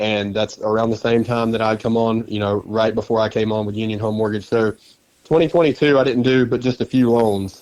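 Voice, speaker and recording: A man with an Alabama accent speaks at a fairly quick pace and a fairly low pitch. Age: 20s. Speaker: loan officer, recovered addict. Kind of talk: testimony.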